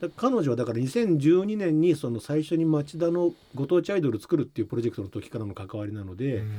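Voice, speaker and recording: A man at a fairly quick pace, with very wide pitch swings and big swings in loudness, over music in the background. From Japan, Shizuoka. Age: 50s. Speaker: musician and record producer. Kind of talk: interview.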